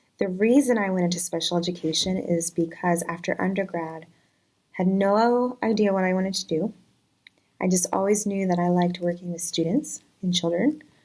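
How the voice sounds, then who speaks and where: Speaking with a Virginia accent, a woman uses a medium pitch and ordinary pitch variation at a moderate pace. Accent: American, Virginia. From US, Virginia. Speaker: special education teacher. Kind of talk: casual self-introduction video. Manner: casual, some hesitations.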